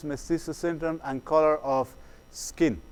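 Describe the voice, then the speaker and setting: A man talks with a Spanish accent. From Chile. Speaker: psychologist. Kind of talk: workshop lecture. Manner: halting, many fillers and repetitions.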